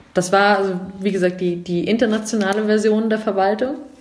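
A woman speaks at a fairly slow pace in a medium pitch, with noticeable background noise and audible room echo. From Germany, Munich. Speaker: civil servant. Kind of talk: interview.

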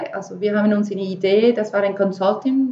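A woman with a Spanish accent speaks at a medium pitch with ordinary pitch variation. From Venezuela. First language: Spanish (speaking German). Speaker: entrepreneur. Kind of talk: interview. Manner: halting, many fillers.

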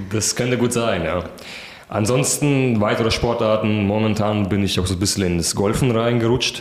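A man speaks at a moderate pace with fairly low pitch, fairly even intonation and very even loudness. The room echo is audible and the background noise is noticeable. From Kazakhstan, in Germany since 2006 (from about age 11). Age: 20s. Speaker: pole vaulter. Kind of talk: interview. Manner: hesitant with many fillers.

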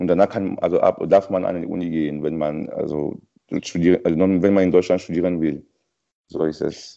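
The speaker has a French accent and a moderate pace. The intonation stays fairly even. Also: man, very deep, low pitch for a man. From Cameroon. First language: French (speaking German). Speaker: French tutor. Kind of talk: language lesson chat. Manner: halting.

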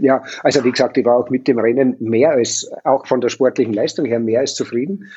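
A man with a normal speaking voice talks at a medium pitch and a fairly quick pace. He hardly pauses, and his pitch varies in an ordinary way. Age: 50s. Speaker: hotelier and triathlon team manager. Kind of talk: casual interview.

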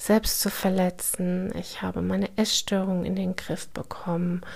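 A woman speaks very slowly at a medium pitch, her voice somewhat breathy. Her intonation is monotone and flat. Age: 40s. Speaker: podcast host sharing her trauma experience. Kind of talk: personal monologue. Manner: hesitant, many filler sounds.

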